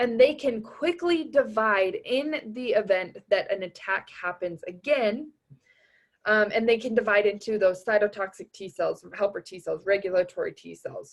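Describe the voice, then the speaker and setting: A woman with a normal speaking voice, fairly high in pitch, at a moderate pace, with lively intonation and big swings in loudness. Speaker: anatomy tutor. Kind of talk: recorded review lecture. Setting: recording over tablet drawing.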